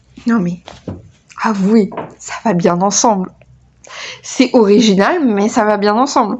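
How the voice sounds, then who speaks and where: A woman with a fairly high pitch speaks at a very slow pace. Long, frequent pauses break up her speech. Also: ordinary pitch variation. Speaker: knitting youtuber. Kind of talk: casual chat. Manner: loud; hesitant, many fillers.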